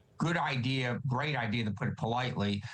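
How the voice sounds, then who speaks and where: This man has an unremarkable speaking voice, medium in pitch with ordinary pitch variation, delivered at a moderate pace. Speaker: political analyst. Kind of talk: TV news interview answer.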